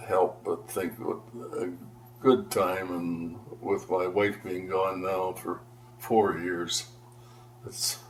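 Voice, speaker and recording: Speaking at a very slow pace with a Canadian accent, this voice keeps fairly even intonation and leaves long, frequent pauses. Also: man. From Ontario, Canada (Aurora). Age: 80s+. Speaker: longtime local resident. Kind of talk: oral history interview. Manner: halting.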